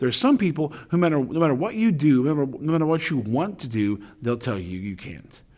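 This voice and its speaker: A loud man talks at a very fast pace and a fairly high pitch, his voice making very wide pitch swings. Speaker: high school teacher. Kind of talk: motivational talk. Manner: halting, many fillers.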